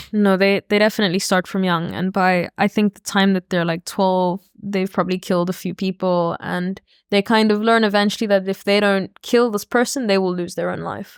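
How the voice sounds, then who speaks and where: A woman speaks at a fairly quick pace in a medium pitch, her intonation monotone and flat. The recording is very clean with a silent background, and the sound is dry and close with no echo. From South Africa. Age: 20s. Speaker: podcast guest. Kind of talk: casual chat.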